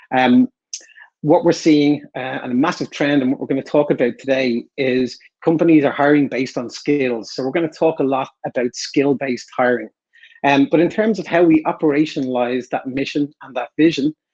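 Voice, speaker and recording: At a moderate pace, a man speaks with an Irish accent. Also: fairly high pitch for a man, ordinary pitch variation, dry, close sound with no echo. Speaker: enterprise account director. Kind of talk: webinar presentation.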